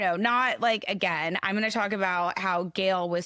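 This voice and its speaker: A woman talks loudly at a fairly slow pace in a bright, sharp tone. The recording is very clean with a silent background and a dry, close sound without echo. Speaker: podcast co-host. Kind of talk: casual chat. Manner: animated.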